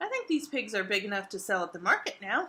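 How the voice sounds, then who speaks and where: Putting on a character voice, a woman rumbles at a medium pitch and a very fast pace. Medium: read story. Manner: grumbling.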